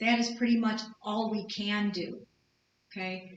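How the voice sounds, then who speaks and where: A woman at a very slow pace, monotone and flat, with audible room echo. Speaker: lecturer. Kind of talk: lecture.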